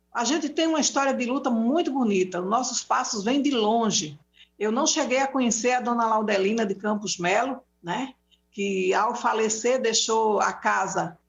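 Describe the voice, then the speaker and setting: At a moderate pace, a woman with a fairly high pitch speaks somewhat breathily, her pitch varying in an ordinary way. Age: 60s. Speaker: domestic workers' union leader. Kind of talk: public debate talk. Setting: live broadcast debate.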